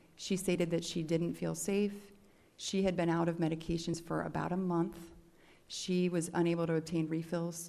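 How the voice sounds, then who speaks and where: In a dark, mellow tone and a fairly low pitch, a woman speaks at a moderate pace with audible room echo. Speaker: expert witness, doctor. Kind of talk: court testimony. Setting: courtroom.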